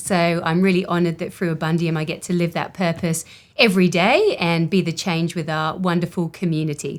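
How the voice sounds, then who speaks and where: A woman with an English accent, fairly low in pitch, at a moderate pace and with fairly even intonation. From England. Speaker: company co-founder. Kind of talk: casual interview conversation.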